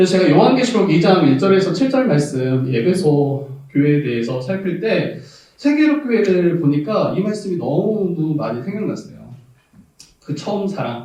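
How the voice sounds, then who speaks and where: Audible room echo surrounds a man with a high pitch. He speaks at a moderate pace, and his pitch swings very widely. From South Jeolla, Korea. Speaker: pastor. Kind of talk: sermon. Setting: church.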